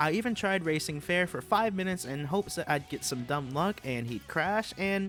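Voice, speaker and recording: Music plays behind a man with a high pitch. He talks at a fairly quick pace. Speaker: YouTube gaming channel host. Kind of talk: gaming commentary over gameplay.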